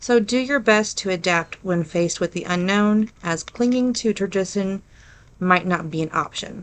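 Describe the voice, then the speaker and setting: A woman speaks with an Ohio accent. Her pitch sits in the medium range. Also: ordinary pitch variation, moderate pace. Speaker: paranormal podcast host. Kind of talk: reading aloud.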